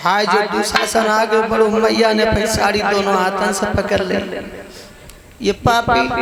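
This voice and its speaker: Amid noticeable background noise, a man's high-pitched voice stays monotone and flat, with very even loudness throughout. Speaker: religious storyteller. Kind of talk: devotional katha narration.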